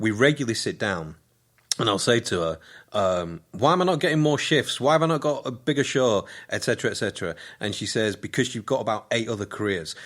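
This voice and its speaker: A man with a West Yorkshire accent talks at a very fast pace at a medium pitch, his pitch swinging very widely, on a very clean recording with a silent background. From northern England, Keighley, West Yorkshire. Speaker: radio presenter, playwright and comedian. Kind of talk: casual interview.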